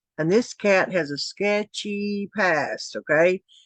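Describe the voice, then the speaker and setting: Recorded dry and close with no echo against a quiet background, a woman speaks with a Tennessee accent and ordinary pitch variation. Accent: Southern US (Tennessee). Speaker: commentary YouTuber. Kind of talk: casual commentary vlog. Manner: hesitant, many fillers.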